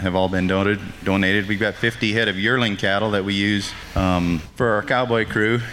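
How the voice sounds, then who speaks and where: Against noticeable background noise, a man talks at a moderate pace in a fairly low, monotone, flat voice. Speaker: ranch manager. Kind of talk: casual interview.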